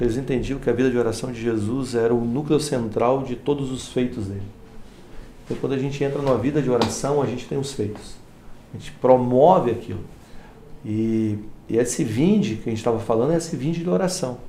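The recording has audible room echo and noticeable background noise. A man talks at a fairly quick pace and a medium pitch, with ordinary pitch variation. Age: 40s. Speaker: pastor. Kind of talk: casual chat.

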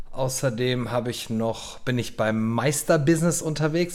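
A man's plain, everyday voice, medium in pitch, at a fairly slow pace. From western Germany, Lower Rhine. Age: 40s. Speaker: podcast co-host, IT security business owner. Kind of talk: casual chat.

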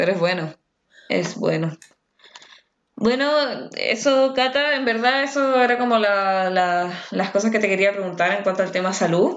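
A woman with a Chilean accent speaks at a medium pitch and fairly slow pace, with lively intonation, very even loudness, and long, frequent pauses. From Chile, Los Andes. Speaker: podcast host. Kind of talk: casual chat.

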